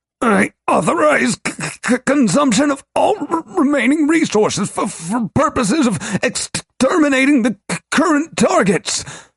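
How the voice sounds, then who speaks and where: A put-on character voice at a high pitch. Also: moderate pace. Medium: read story. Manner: stuttering, profane.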